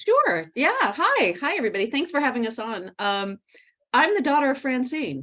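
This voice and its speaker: Speaking at a moderate pace with an American accent, a woman uses a high pitch, very wide pitch swings and a bright, sharp tone. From United States. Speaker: guest, working mother. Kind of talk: online interview. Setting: video call.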